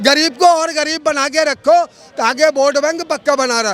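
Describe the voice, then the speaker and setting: A man speaks against noticeable background noise. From India, Delhi. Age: 70s. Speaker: member of the public. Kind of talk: street interview. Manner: animated.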